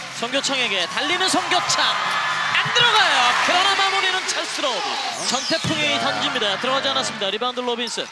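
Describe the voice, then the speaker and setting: The speaker moves at a fairly quick pace with very wide pitch swings. Noticeable background noise runs underneath. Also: man, extremely high pitch for a man, very even loudness. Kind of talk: live sports commentary. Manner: rapid-fire, breathless play-by-play that surges in pitch and volume at scoring chances; excitable, with short clipped phrases for each pass, shot and steal.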